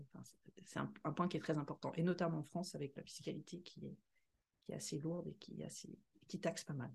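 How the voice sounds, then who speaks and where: A woman talks very fast with vocal fry and fairly even intonation. Her speech is broken by long, frequent pauses. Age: 50s. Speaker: podcast co-host, finance director and property investor. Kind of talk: casual chat.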